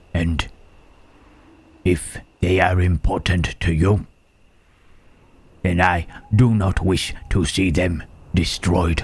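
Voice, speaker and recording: Putting on a character voice, a man speaks very slowly at a very deep, low pitch, with long, frequent pauses. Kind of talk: audio roleplay. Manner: whispered, hushed.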